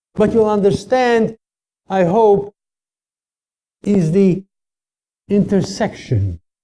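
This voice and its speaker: A somewhat breathy voice with a dark, mellow tone speaks at a very slow pace, the sound dry and close with no echo. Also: man. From Czechoslovakia. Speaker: Holocaust survivor and lecturer. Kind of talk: testimony lecture.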